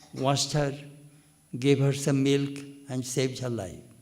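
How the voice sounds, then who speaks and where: There is audible room echo around a man whose voice sits fairly high in pitch. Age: 80s+. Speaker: monk. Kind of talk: spiritual discourse.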